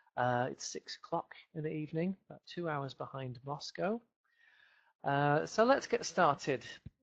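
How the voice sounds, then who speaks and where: The speaker has a Yorkshire accent and talks at a moderate pace with big swings in loudness. The sound is dry and close, with no echo. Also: man, fairly high pitch for a man. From northern England, Leeds. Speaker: English teacher. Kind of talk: webinar lecture. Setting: home office, video webinar.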